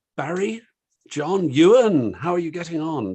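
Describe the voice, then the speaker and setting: A man speaks with a British accent. His intonation is lively. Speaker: online discussion host. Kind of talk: panel discussion moderation. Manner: hesitant, many fillers.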